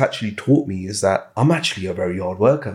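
A man talks with lively intonation in a somewhat breathy voice. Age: 30s. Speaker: business founder and scalp micropigmentation artist. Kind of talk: casual interview. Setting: studio. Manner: halting, many fillers.

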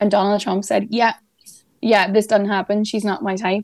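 Here is a woman with an Irish accent. Her pitch is fairly high and her intonation fairly even. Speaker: journalist. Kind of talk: news discussion.

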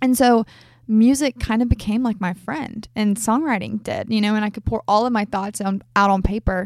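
A woman's unremarkable speaking voice at medium pitch, moderate pace and fairly even intonation, on a very clean recording with a silent background. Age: 20s. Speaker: country music artist. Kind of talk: casual interview. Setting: in-person recording in Franklin, Tennessee.

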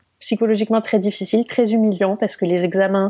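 A woman talks at a fairly quick pace. Her voice sits at a medium pitch with a dark, mellow tone. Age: 30s. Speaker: mother sharing childbirth injury story. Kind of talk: personal testimony.

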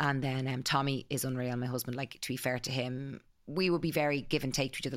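A woman with an Irish accent, very deep and low in pitch, monotone and flat, at a very fast pace. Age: 40s. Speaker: clothing brand founder. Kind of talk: casual interview.

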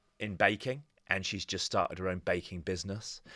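The bright, sharp tone comes through in a very clean recording with a silent background, and the intonation stays monotone and flat. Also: man. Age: 40s. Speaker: church minister and author. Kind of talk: interview conversation.

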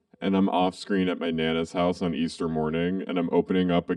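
A woman speaks with a very deep, low pitch. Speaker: podcast co-host. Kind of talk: casual chat. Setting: remote recording, Hollywood.

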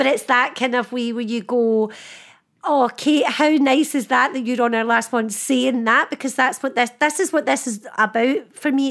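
In a very clean recording with a silent background, the voice shows ordinary pitch variation. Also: woman. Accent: Scottish. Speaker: podcast host. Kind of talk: casual chat. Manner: animated.

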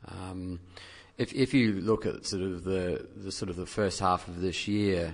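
A man's very deep, low voice with a New Zealand accent at a fairly slow pace. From New Zealand, dairy farming background. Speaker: investment professional. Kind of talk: casual chat. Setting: studio.

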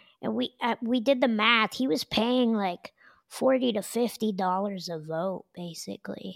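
A woman with an American accent and an unremarkable speaking voice talks fairly slowly at a fairly high pitch with lively intonation, in a dry, close sound with no echo on a very clean recording with a silent background. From Denver, Colorado. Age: 30s. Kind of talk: casual interview chat.

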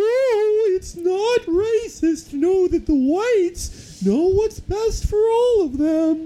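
At an extremely high pitch, a put-on character voice moves at a very slow pace with hardly any pauses. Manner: cartoonish, exaggerated.

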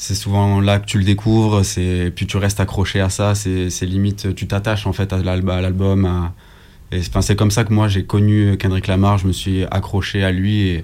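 A man's dark, mellow tone at a fairly low pitch, with monotone, flat intonation and a moderate pace. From southern France, Nîmes. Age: 20s. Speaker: rapper. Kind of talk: radio interview.

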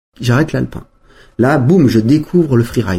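With a dark, mellow tone, a man talks at a fairly quick pace and medium pitch, sounding somewhat breathy. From French Alps, Savoie. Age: 40s. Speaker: former pro skier. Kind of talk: interview. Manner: halting, with frequent repetitions.

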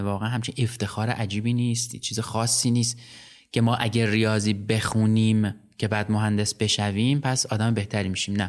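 Heard in a very clean recording with a silent background, a man with a fairly low pitch talks at a fairly quick pace in a monotone, flat intonation, his loudness very even. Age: 40s. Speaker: podcast host. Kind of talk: casual interview.

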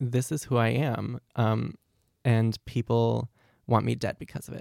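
A man with an ordinary speaking voice and a medium pitch talks at a fairly slow pace. The very clean recording has a silent background and a dry, close sound with no echo. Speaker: university student. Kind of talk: life story interview.

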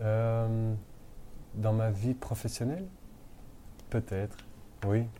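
Very slow and full of long, frequent pauses, a man's speech has a dark, mellow tone and fairly even intonation. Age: 30s. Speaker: restaurant founder. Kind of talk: interview. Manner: hesitant.

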